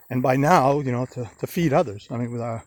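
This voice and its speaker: Speaking at a very fast pace, a man with an American accent uses a medium pitch and ordinary pitch variation. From Maine, US (Old Orchard Beach). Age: 60s. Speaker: vlogger. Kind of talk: testimony. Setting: outdoors. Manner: halting.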